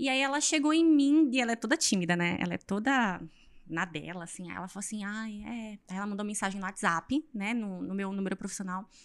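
Her intonation lively and her pitch medium, a woman talks at a fairly quick pace. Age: 20s. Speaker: fitness influencer and physical education graduate. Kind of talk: casual interview chat. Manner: animated.

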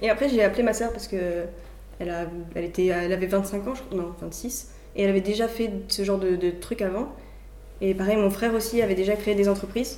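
With audible room echo, a woman at medium pitch speaks at a fairly quick pace with fairly even intonation and long, frequent pauses. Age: 20s. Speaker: student entrepreneur. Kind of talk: casual interview. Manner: halting.

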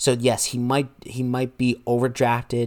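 In a very clean recording with a silent background, a man speaks at medium pitch in an excited, animated tone. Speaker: podcast host. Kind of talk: solo monologue recap on fantasy baseball.

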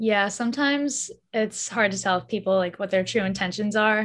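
Using an ordinary speaking voice, a woman with an American accent talks at a fairly quick pace with ordinary pitch variation on a very clean recording with a silent background. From US Northeast (Massachusetts). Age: 20s. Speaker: YouTuber and college student. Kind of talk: casual interview.

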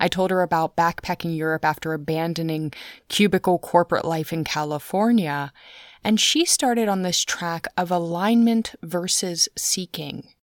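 A woman with a normal speaking voice talks at a moderate pace, her fairly low pitch showing ordinary variation. The recording is very clean and silent behind her, with a dry, close sound and no echo. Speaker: podcast host. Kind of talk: interview conversation.

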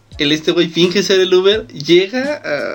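A man with a high-pitched voice. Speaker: podcast co-host. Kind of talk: casual chat. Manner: animated.

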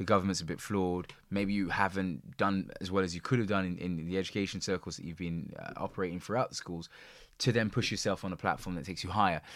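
Very deep and low, the man's voice races at a very fast pace in a London accent. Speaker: podcast host. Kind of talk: casual chat. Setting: video call.

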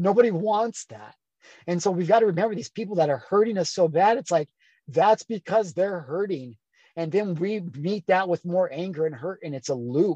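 In a dry, close sound with no echo, a high-pitched man with a dark, mellow tone speaks at a moderate pace with lively intonation and big swings in loudness. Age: 30s. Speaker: self-help coach. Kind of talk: podcast interview, personal story.

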